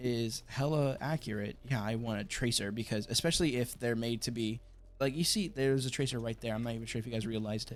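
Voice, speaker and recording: Talking at a very fast pace with hardly any pauses, a man with an American accent uses a medium pitch and ordinary pitch variation on a very clean recording with a silent background. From United States. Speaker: gaming YouTuber. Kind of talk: live gameplay commentary. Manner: stuttering, repeating words; casual, filler-heavy.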